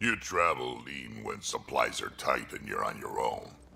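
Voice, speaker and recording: A man uses a put-on, growling character voice. He keeps a moderate pace. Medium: video game. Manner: blunt, gruff, crude.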